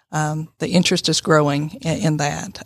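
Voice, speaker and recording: A woman with a Southern US accent speaks at a moderate pace in a very deep, low pitch with fairly even intonation. The recording is very clean, with a silent background. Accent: Southern US (Georgia). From Northwest Georgia, US South. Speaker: college president. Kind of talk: casual interview. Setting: studio.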